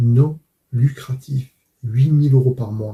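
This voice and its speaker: In a dark, mellow tone, a man speaks very slowly and somewhat breathily. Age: 60s. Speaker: father and truck driver. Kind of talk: testimony.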